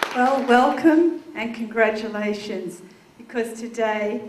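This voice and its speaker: With an Australian accent, a woman speaks at a fairly high pitch with ordinary variation, amid noticeable background noise and audible room echo. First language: Dutch. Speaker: state politician. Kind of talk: ceremonial speech.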